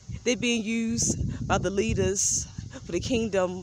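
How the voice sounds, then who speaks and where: A woman talks very slowly, her pitch swinging very widely. The sound is dry with no echo, though background noise is noticeable. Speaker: vlogger preaching about spiritual beliefs. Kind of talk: casual vlog monologue, preachy. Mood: earnest, insistent. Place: street. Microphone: phone near.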